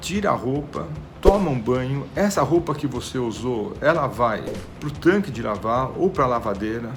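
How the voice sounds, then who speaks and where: Music plays in the background as a man with a medium pitch speaks at a fairly slow pace and with lively intonation, with audible room echo. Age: 60s. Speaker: doctor. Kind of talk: health talk. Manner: repetitive emphasis.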